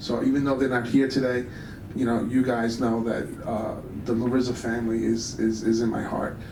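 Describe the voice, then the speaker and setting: Over noticeable background noise, a man speaks at a moderate pace with audible room echo. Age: 60s. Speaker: high school basketball coach. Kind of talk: award dinner speech. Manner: halting, many fillers and repetitions.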